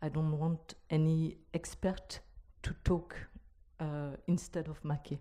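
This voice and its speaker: A woman speaks very slowly in a flat monotone, her very deep, low voice dark and mellow. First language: not English. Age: young. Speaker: filmmaker. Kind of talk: panel discussion. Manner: halting.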